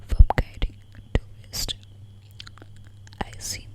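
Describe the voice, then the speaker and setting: A fairly slow whisper over noticeable background noise. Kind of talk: ASMR sleep story reading. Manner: whispered, soft.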